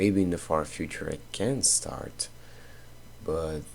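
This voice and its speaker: The speech comes at a fairly slow pace in a Portuguese accent. The intonation is lively. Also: man. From Brazil. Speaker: content creator. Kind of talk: casual talk while drawing. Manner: halting.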